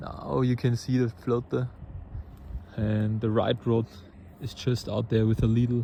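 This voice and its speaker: A man's medium-pitched voice with a non-native accent, at a fairly slow pace with fairly even intonation and long, frequent pauses. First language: not English. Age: 20s. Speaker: angler and video creator. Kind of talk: casual outdoor vlog. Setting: outdoors by a river. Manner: halting, with repeated words.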